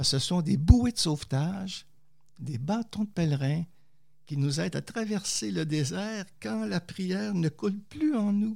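In a Quebec accent, a man talks at a fairly slow pace with lively intonation. His fairly high voice has a dark, mellow tone, and the recording is very clean with a silent background. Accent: Québécois. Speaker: theologian and poet. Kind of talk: interview testimony.

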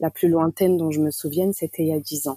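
A woman's fairly low, dark, mellow voice, with a dry, close sound and no echo. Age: 20s. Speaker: patient sharing her eating disorder experience. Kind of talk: testimony.

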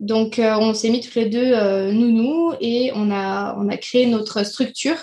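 A woman speaks fairly slowly with a high pitch, a dark, mellow tone and ordinary pitch variation. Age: 20s. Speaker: childcare professional, club co-founder. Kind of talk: casual interview. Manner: hesitant, many fillers.

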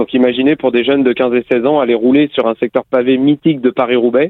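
This man has a plain, everyday voice, medium in pitch, and speaks at a moderate pace. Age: 30s. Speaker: cycling race announcer. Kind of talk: interview.

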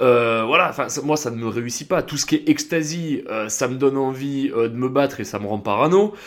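A normal speaking voice moves along at a moderate speed. The pitch rises and falls in an ordinary manner. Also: man, fairly high pitch for a man. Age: 20s. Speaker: podcast host, former soldier. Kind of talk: casual monologue. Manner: casual, many fillers.

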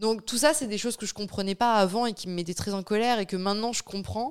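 In a normal speaking voice, a woman talks at a fairly quick pace and a fairly high pitch with ordinary pitch variation, in a very clean recording with a silent background. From France. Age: 20s. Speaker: domestic violence survivor. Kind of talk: testimony.

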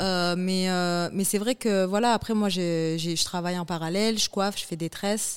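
A woman speaks in an unremarkable speaking voice at a medium pitch, with fairly even intonation. The recording is very clean, with a silent background. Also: moderate pace. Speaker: TV presenter and producer. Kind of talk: casual interview.

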